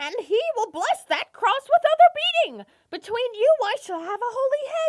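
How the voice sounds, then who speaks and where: At a moderate pace, someone talks in an extremely high, put-on character voice. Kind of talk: Shakespeare stage play performance.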